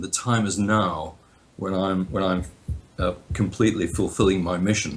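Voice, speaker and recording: A man's somewhat breathy voice at a moderate pace. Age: 70s. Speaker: spiritual teacher, foundation director. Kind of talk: interview storytelling.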